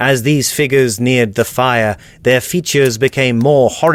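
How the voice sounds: A voice that is a natural reading voice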